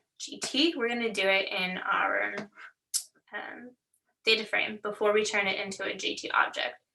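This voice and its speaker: The woman's voice sits at a fairly high pitch. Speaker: workshop instructor. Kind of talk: tutorial. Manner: fast.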